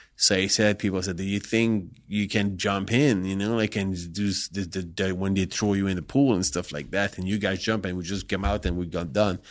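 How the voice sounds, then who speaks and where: A man with a non-native accent speaks at a moderate pace with hardly any pauses. The recording is very clean, with a silent background. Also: fairly low pitch for a man, fairly even intonation. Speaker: adult film director. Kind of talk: casual interview. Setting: studio. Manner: halting.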